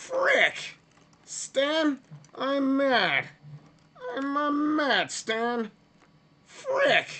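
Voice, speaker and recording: A put-on character voice, high-pitched, at a very slow pace with long, frequent pauses. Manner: mock-annoyed, exaggerated.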